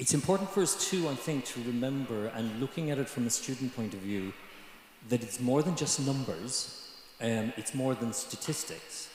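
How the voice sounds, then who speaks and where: A man with an Irish accent at a fairly slow pace, medium pitch and ordinary pitch variation, over noticeable background noise. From Ireland, Galway. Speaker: student panelist. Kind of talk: panel discussion. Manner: halting.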